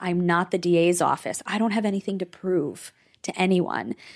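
With a normal speaking voice at medium pitch, a woman talks at a moderate pace in an American accent, recorded very cleanly against a silent background. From New York, Rockland County. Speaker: trauma therapist. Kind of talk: interview.

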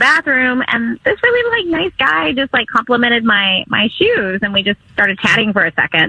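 A high-voiced woman talks at a medium speed while noticeable noise fills the background. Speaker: caller. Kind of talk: casual chat. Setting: phone call.

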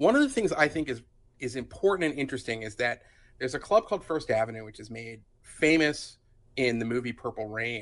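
A man talks at a fairly quick pace with big swings in loudness. His pitch is medium. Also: ordinary pitch variation. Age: 50s. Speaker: journalist. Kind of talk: casual chat. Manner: halting, many fillers.

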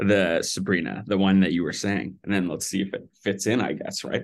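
A man speaks in a normal speaking voice at a fairly low pitch. He keeps a fairly quick pace and fairly even intonation. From Vancouver, Canada. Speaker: filmmaker, director. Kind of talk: casual interview chat.

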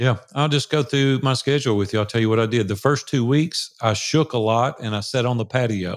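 In a normal speaking voice, a man talks at a fairly quick pace with medium pitch, ordinary pitch variation and very even loudness on a very clean recording with a silent background. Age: 60s. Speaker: entrepreneur and mastermind facilitator. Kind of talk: casual interview.

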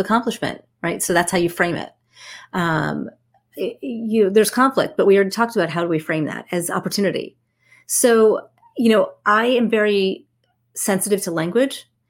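A woman with a New Jersey accent, medium-pitched, at a moderate pace with ordinary pitch variation, on a very clean recording with a silent background. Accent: New Jersey American. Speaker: networking expert and author. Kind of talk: interview.

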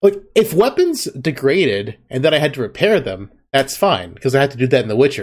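A man speaks at a fairly high pitch and a fairly quick pace. His pitch swings very widely, with hardly any pauses. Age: 30s. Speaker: podcast host. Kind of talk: casual chat.

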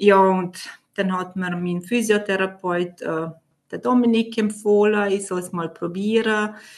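The woman speaks at a very slow pace. Her loudness swings widely. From Vorarlberg, Austria. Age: 30s. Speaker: coaching client. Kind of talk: testimony. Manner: halting.

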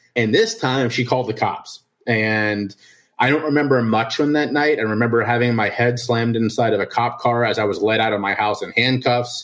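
Using a normal speaking voice, a man with an American accent talks at a fairly quick pace and medium pitch. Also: fairly even intonation. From Ohio, Cincinnati. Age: 30s. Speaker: addiction and mental health advocate. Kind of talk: interview testimony.

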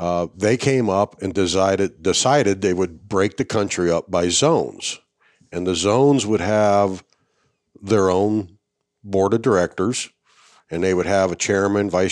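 It is an ordinary speaking voice from a man, fairly low in pitch with ordinary pitch variation. He talks at a moderate pace on a very clean recording with a silent background. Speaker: retired army veteran and coonhound breed association officer. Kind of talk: casual interview conversation. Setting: on site at a hunting event.

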